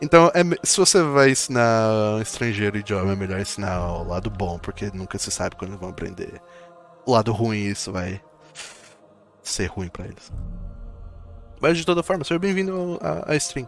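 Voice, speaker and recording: Over background music, a man with a Brazilian accent talks at a very fast pace with long, frequent pauses, a fairly low pitch, very wide pitch swings and big swings in loudness. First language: Portuguese. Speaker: artist streamer. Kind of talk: casual live stream chat. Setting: live stream. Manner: animated.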